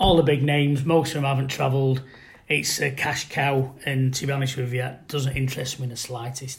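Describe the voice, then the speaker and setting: A man talks fairly quickly in a flat monotone at a medium pitch. His voice is somewhat breathy. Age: 50s. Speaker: football supporter panelist. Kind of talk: casual chat.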